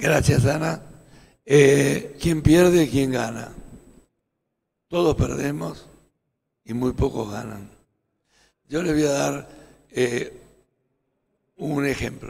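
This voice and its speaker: Talking at a very slow pace, a man uses lively intonation in a fairly high pitch for a man. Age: 70s. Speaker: small business association leader. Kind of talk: panel discussion.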